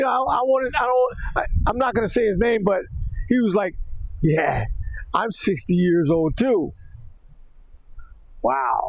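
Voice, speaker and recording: Amid noticeable background noise, a high-pitched man speaks fairly slowly with lively intonation, very even loudness, and long, frequent pauses. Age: 60s. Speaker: video blogger. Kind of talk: casual vlog monologue. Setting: outdoors riding a bike by the ocean. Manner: halting, many fillers.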